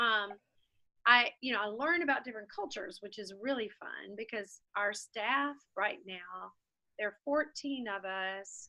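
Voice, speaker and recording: Lively in intonation, a woman speaks fairly slowly at a fairly high pitch. Her tone is bright and sharp. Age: 60s. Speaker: coffee shop founder. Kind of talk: interview. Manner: halting.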